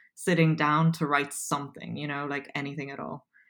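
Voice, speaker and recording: On a very clean recording with a silent background, a woman speaks with an Irish accent. She keeps a moderate pace and fairly even intonation. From Poland, raised in Dublin, Ireland. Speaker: copywriter. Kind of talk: casual interview.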